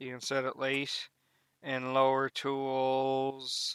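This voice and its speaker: Recorded dry and close with no echo, a man speaks at a very slow pace in a medium pitch with monotone, flat intonation. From Canada. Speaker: gaming YouTuber. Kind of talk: gameplay tutorial. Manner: casual, hesitant with fillers.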